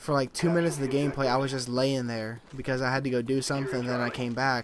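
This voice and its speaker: A man's medium-pitched voice, very fast and monotone, with flat intonation. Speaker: gaming YouTuber. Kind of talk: gameplay commentary. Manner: halting, stumbling over words; casual.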